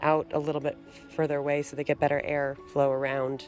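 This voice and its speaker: With music playing behind her, a woman talks at a fairly quick pace in a relaxed tone and a very deep, low pitch. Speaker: homesteader, gardener. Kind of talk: casual garden tour talk to camera. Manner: relaxed, hesitant with many fillers.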